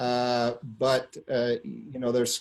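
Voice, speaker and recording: A man with an American accent, medium pitch, and a dark, mellow tone. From US Northeast, near New York City. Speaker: company insider, founder's son. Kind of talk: interview storytelling. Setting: conference call. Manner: frequent fillers (uh).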